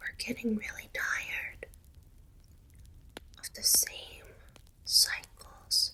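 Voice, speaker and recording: Whispering at a very slow pace, with long, frequent pauses, over noticeable background noise. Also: woman. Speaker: ASMR creator. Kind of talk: ASMR reiki healing session. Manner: soft-spoken, comforting.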